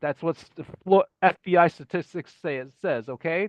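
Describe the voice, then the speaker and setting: A man's high-pitched voice moves at a moderate pace, and its pitch varies in an ordinary way. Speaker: off-grid living channel host. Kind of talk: narrated slideshow presentation. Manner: casual, hesitant with fillers.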